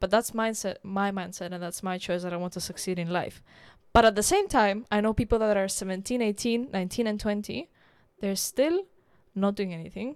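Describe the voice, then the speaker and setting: A woman speaks in a plain, everyday voice at a medium pitch and a moderate pace. Her intonation is fairly even, on a very clean recording with a silent background. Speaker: podcast host. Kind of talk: casual interview chat.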